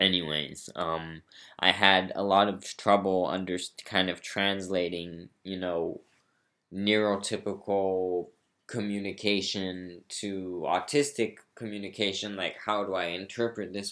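A man with an American accent has a very deep, low pitch and a bright, sharp tone. He speaks at a fairly slow pace. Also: fairly even intonation, very clean recording, silent background. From Brazil and US. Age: young. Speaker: podcast host, actor. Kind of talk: solo podcast monologue. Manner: halting, many ums and pauses.

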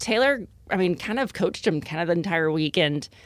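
In a very clean recording with a silent background, a woman with an American accent uses an ordinary speaking voice. Her pitch is fairly low, and her intonation is lively. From Texas, Lake Jackson. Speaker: foundation founder. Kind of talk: interview.

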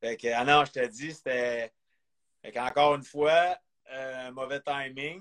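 In a Quebec accent, a man of medium pitch speaks at a fairly slow pace with long, frequent pauses, fairly even intonation and big swings in loudness, the sound dry and close with no echo. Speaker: former pro hockey player. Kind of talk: interview. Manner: halting.

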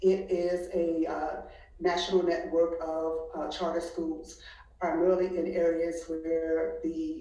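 A woman amid noticeable background noise and audible room echo. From Washington DC. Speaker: college counselor. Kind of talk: casual chat.

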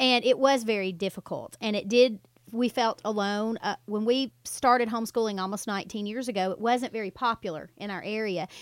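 A woman with a normal speaking voice, fairly high-pitched, talks at a fairly quick pace with fairly even intonation. The recording is very clean with a silent background, and the sound is dry and close with no echo. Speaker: radio host. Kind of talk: radio interview. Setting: radio studio.

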